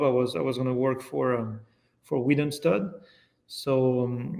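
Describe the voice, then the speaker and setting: Speaking fairly slowly in a French accent, a man holds a medium pitch with ordinary pitch variation. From France. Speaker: yearling manager. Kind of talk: podcast interview answer.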